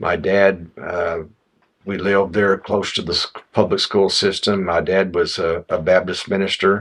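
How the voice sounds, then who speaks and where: With an American accent, a man speaks in a very deep, low pitch at a fairly slow pace, his intonation monotone and flat. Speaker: former state representative and highway commissioner. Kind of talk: oral history interview answer. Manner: conversational, reflective.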